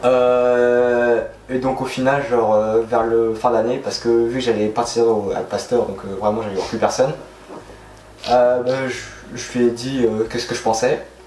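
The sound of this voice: A man talks at a moderate pace in a medium pitch with little pitch movement. His tone is slightly mellow, and the room echo is audible.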